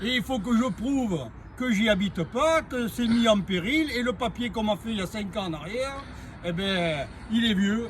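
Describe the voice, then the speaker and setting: Amid noticeable background noise, a man with a Marseille accent speaks at a high pitch with lively intonation. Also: moderate pace. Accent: sing-song Marseille. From Provence, near Marseille. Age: 60s. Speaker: homeowner interviewee. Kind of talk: interview.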